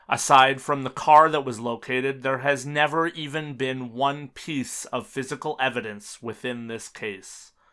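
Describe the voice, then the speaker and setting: This man's tone is bright and sharp. The recording is very clean, with a silent background. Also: medium pitch for a man, fairly even intonation, fairly slow pace. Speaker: true crime podcast host. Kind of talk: scripted true-crime narration. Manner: measured, sombre, formal; steady, factual delivery.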